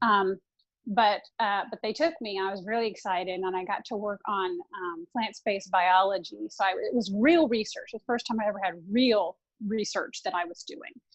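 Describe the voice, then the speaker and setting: With a slight Southern US accent, the speaker keeps a moderate pace and ordinary pitch variation. The sound is dry and close, with no echo. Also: woman, medium pitch for a woman. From US South, Tennessee and Orlando, Florida. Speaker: consultant to venture capitalists. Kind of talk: interview. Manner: halting, many fillers.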